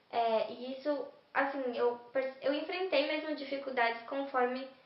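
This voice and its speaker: With audible room echo and noticeable background noise, a woman speaks at a high pitch with fairly even intonation. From Brazil, São Paulo city. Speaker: university student. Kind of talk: interview testimony.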